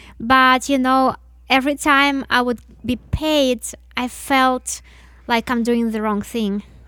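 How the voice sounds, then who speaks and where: Very slowly, with long, frequent pauses, a woman speaks in a bright, sharp tone at a high pitch with fairly even intonation. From Russia. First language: Russian. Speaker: musician. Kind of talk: casual interview chat.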